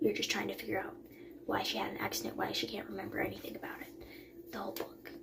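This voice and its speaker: A quiet voice comes through with audible room echo and noticeable background noise. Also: woman. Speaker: book vlogger. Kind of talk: casual vlog talk. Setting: bathroom at night. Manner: quiet, hushed; hesitant with fillers.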